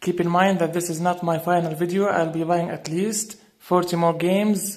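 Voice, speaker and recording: A non-native accent comes through. The delivery moves at a moderate pace. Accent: foreign accent, self-noted. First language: not English. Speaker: gaming YouTuber. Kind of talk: casual video review. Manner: halting, many fillers and restarts.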